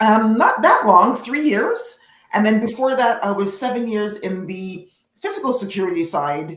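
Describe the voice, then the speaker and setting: A woman talks at a moderate pace with lively intonation as music plays in the background. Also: fairly high pitch for a woman. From Canada. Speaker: product marketing manager, webinar speaker. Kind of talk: casual chat before webinar. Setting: live online webinar.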